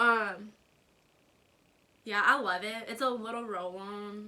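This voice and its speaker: A bright, sharp tone in an American accent, with monotone, flat intonation. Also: woman. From US South, North Carolina. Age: 20s. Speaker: YouTuber. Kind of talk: casual vlog Q&A. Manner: casual, many fillers.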